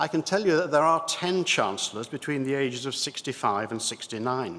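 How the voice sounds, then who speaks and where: A man with an RP accent speaks at a moderate pace, his fairly high pitch carried by lively intonation. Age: 70s. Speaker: church lawyer and synod member. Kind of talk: formal debate speech. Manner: formal; hesitant fillers.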